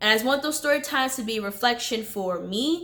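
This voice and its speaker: A woman with a high pitch talks at a fairly quick pace in a very clean recording with a silent background. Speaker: vlogger. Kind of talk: casual chat. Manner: halting.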